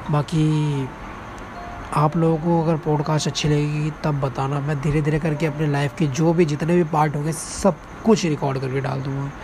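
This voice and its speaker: Music plays in the background. A man speaks at a fairly high pitch in a monotone, flat intonation. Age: 20s. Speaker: podcaster and reaction channel creator. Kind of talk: casual personal monologue. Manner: unscripted, halting with fillers.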